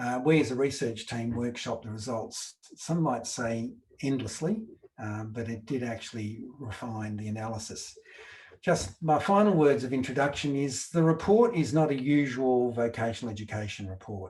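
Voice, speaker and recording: A man in an Australian accent speaks at a moderate pace and medium pitch, somewhat breathy, with ordinary pitch variation. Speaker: researcher presenting a report. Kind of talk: webinar presentation. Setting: online webinar with slides.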